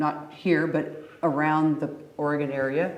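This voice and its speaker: The intonation is monotone and flat. There is audible room echo and noticeable background noise. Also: woman. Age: 70s. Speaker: panel guest, retired nurse. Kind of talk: panel discussion.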